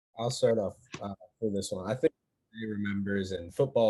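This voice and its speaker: Against a quiet background, a man with a fairly low pitch and an unremarkable speaking voice talks at a fairly quick pace. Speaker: college football player. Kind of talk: panel discussion. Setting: video call.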